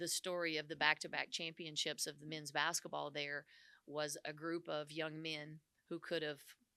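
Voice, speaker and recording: In a Southern US accent, a woman talks at a moderate pace in a very deep, low voice with a bright, sharp tone. Her intonation is monotone and flat. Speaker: women's basketball head coach. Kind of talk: press conference. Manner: halting, many fillers.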